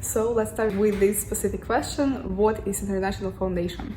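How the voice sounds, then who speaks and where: In a room with audible echo, a woman speaks at a fairly quick pace with a medium pitch and fairly even intonation. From Russia, Moscow. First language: Russian. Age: 20s. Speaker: student vlogger. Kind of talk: casual vlog. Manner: halting.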